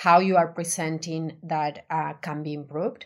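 A woman with an Argentine accent, a fairly low pitch and monotone, flat intonation, speaking at a fairly slow pace on a very clean recording with a silent background. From Argentina. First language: Spanish. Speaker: designer. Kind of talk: interview.

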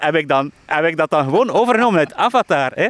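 Very wide pitch swings mark a man's voice in a very clean, dry, close recording with no echo and a silent background. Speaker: software entrepreneur and author. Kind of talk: interview. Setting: outdoors in a park.

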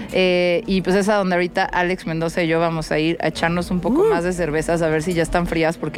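A woman speaks very fast as noticeable noise carries in the background. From Mexico City. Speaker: podcast host and DJ. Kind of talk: casual interview. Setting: mobile booth at a music festival.

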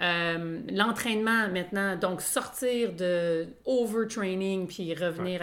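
A woman speaks very slowly with a Quebec accent. Her pitch is medium, with ordinary pitch variation. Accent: Québécois French. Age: 40s. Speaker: podcast co-host. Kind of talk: casual chat. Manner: halting.

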